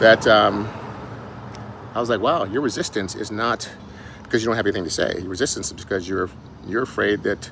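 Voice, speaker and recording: A man speaks very fast at a fairly low pitch, with ordinary pitch variation and long, frequent pauses. Noticeable background noise runs underneath. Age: 60s. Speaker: fitness and weight loss coach, author. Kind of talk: casual vlog monologue. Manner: halting, with fillers and restarts.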